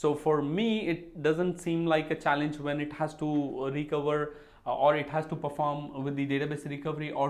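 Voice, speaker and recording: There is audible room echo as a man speaks with a fairly high pitch. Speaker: database administration educator. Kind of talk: solo Q&A video lecture. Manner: loud.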